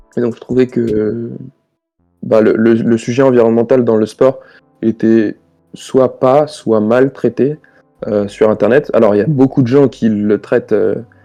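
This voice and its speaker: With music in the background, a man with a medium-pitched voice talks at a fairly slow pace, taking long, frequent pauses, his intonation fairly even and his loudness very even. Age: 20s. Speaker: sports and environment YouTuber, engineer. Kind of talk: podcast interview. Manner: halting, many hesitations and repetitions.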